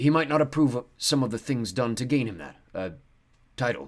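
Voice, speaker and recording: A man uses a put-on character voice that is hoarse, at a medium pitch. He goes at a fairly quick pace with big swings in loudness. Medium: read story. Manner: clipped, guarded.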